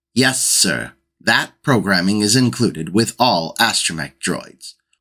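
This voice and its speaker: A man's robotic, put-on character voice at a moderate pace on a very clean recording with a silent background. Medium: read story. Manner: matter-of-fact, polite, literal.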